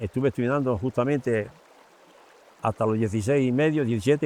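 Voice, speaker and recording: A man speaks at a very fast pace in a medium pitch. His pitch variation is ordinary. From Spain, Extremadura (Hervás). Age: 70s. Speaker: retired small businessman, carpenter. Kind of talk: interview answers to children. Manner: halting.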